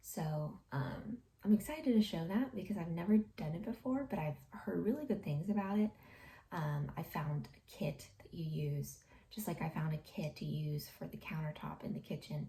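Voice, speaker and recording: A woman with a fairly low pitch, a dark, mellow tone, and vocal fry speaks at a moderate pace. Her intonation is lively and her loudness swings widely. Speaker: home renovation vlogger. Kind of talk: casual vlog. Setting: home office. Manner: soft-spoken.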